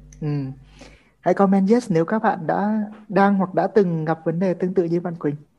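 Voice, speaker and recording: With long, frequent pauses, a man talks at a moderate pace in a high pitch, his tone dark and mellow and his intonation fairly even. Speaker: author and trainer. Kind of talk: live Q&A session answering audience questions. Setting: online live stream with audience on mic.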